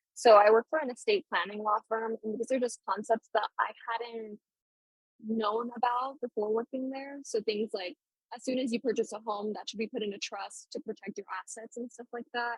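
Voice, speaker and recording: A woman with a normal speaking voice and a fairly high pitch keeps her intonation fairly even while her loudness swings widely, in a dry, close recording with no echo. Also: moderate pace. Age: 20s. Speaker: law student and legal assistant. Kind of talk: casual interview about personal finances.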